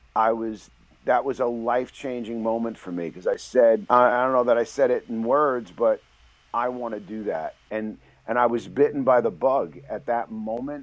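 A man with a New York accent, medium in pitch, at a moderate pace and with fairly even intonation. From New York City (the Bronx). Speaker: novelist and screenwriter. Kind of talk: interview.

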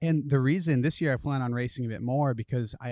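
Recorded very cleanly against a silent background, with a dry, close sound and no echo, a man with an American accent uses a normal speaking voice, fairly even intonation, and a fairly quick pace. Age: 30s. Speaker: professional cyclist and triathlete. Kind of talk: casual interview chat. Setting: outdoors.

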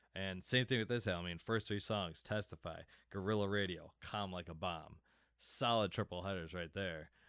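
A man with a very deep, low pitch talks with fairly even intonation. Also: moderate pace, very clean recording, silent background. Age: 30s. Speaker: music fan guest. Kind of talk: casual chat.

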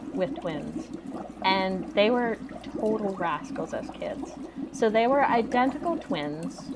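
Over noticeable background noise, a high-pitched woman speaks at a very slow pace with very wide pitch swings. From Canada. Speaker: classic film podcaster. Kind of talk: casual chat.

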